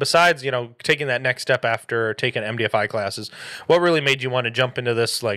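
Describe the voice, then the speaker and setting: A man with an American accent, a bright, sharp tone, ordinary pitch variation and a fairly quick pace, against a quiet background. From Michigan. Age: 20s. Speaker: podcast host. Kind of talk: casual chat. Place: home room. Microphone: studio mic.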